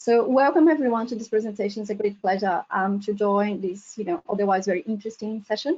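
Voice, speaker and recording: A woman with a Portuguese accent speaks very fast at a fairly high pitch. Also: ordinary pitch variation, hardly any pauses. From Brazil. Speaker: professor. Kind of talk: lecture. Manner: hesitant, frequent ums.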